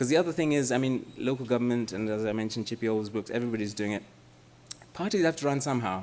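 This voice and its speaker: The man talks at a very fast pace. His medium pitch shows ordinary variation. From Malawi, then India and the US. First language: Chichewa. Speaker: policy researcher and lecturer. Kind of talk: question and answer after a lecture. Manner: hesitant, with many repeated words.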